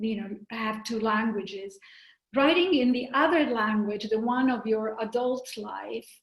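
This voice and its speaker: A woman speaks in an Italian accent at a fairly slow pace. Her voice is somewhat breathy and fairly high, with ordinary pitch variation. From Italy (Rome). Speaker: novelist. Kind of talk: interview. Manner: halting.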